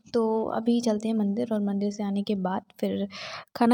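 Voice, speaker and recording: A soft-spoken woman with a dark, mellow tone. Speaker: exam aspirant vlogger. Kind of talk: casual vlog talk. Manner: soft-spoken, quiet.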